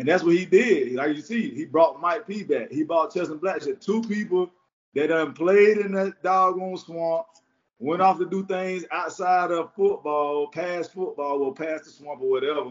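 A man with a Florida accent talks in a high pitch. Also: ordinary pitch variation, moderate pace. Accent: Southern US, Florida. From Jacksonville, Florida. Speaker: former college and pro football defensive back, media personality. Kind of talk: casual interview chat; pep talk. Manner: animated, repetitive, hype-driven.

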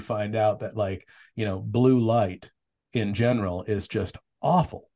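A somewhat breathy man's voice at medium pitch, fairly slow in pace, with ordinary pitch variation. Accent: American. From Arizona (Tempe). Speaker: author. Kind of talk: casual interview. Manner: halting, many repeated words.

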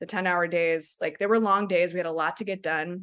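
Talking at a fairly quick pace, a woman of medium pitch has a plain, everyday voice with fairly even intonation. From Maryland, US (Silver Spring). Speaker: documentary director. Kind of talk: casual interview.

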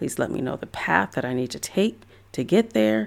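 A woman with vocal fry at a fairly quick pace on a very clean recording with a silent background. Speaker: podcast host and photographer. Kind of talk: solo podcast pep talk. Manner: encouraging, conversational.

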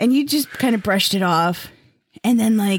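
A woman speaks at a fairly quick pace in an animated tone that is somewhat breathy. The sound is dry and close, with no echo. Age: middle-aged. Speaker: podcast co-host. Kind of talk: casual chat. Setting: studio.

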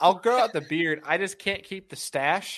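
Against a quiet background, a man with an unremarkable speaking voice uses lively intonation. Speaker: bass angler and content creator. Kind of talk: casual chat.

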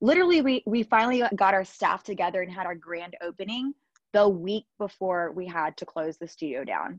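A woman with an ordinary speaking voice and an American accent talks at a fairly quick pace, medium in pitch with lively intonation, in a dry, close sound with no echo. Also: big swings in loudness. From US South, Georgia. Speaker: Pilates studio owner and former lawyer. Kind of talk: casual interview.

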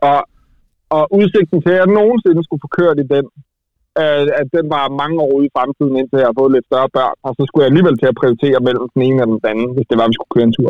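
The speaker races along at a very fast pace with ordinary pitch variation. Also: man, fairly high pitch for a man. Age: 30s. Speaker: car journalist. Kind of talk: casual chat.

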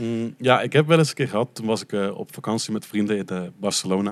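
A man with a plain, everyday voice talks at a fairly quick pace and fairly low pitch, on a very clean recording with a silent background. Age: 20s. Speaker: podcast guest, adoptee from Colombia. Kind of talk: casual chat.

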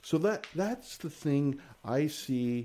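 A man's dark, mellow voice with lively intonation, on a very clean recording with a silent background. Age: 50s. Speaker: financial consultant and business owner. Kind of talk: casual interview.

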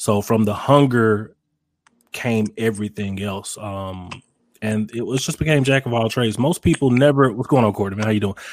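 Here a man talks with a Mississippi accent. His pitch is medium. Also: ordinary pitch variation, moderate pace. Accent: Southern US, Mississippi. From Mississippi, US South. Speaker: barbecue pitmaster and content creator. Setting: live video stream. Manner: confident, playful.

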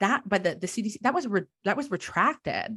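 A woman with a plain, everyday voice talks at a moderate pace with lively intonation. The sound is dry and close with no echo, on a very clean recording with a silent background. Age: 20s. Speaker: theologian and death worker, graduate student. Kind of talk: interview, casual chat.

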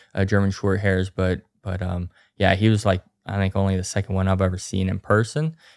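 A man with an Appalachian accent, fairly low in pitch, at a moderate pace, in a very clean recording with a silent background and a dry, close sound with no echo. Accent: Appalachian American. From West Virginia, Grafton. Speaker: grouse hunter. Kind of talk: casual chat.

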